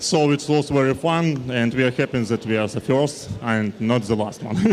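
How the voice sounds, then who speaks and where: A man with a non-native accent at medium pitch and a moderate pace, with ordinary pitch variation and noticeable background noise. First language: not English. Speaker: athlete. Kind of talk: interview. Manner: halting.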